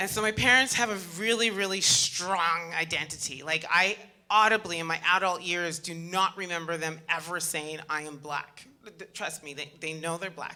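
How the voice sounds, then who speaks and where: A woman's fairly low voice, animated in tone, at a moderate pace with ordinary pitch variation and big swings in loudness, over noticeable background noise. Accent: Canadian. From Canada, Montreal. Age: 40s. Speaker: motivational speaker. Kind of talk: inspirational talk.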